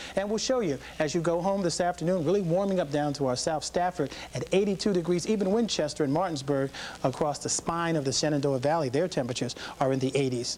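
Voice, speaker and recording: A man talks at a very fast pace with very even loudness and ordinary pitch variation, against noticeable background noise. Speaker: broadcast meteorologist. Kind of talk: TV weather forecast broadcast. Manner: upbeat, friendly, conversational.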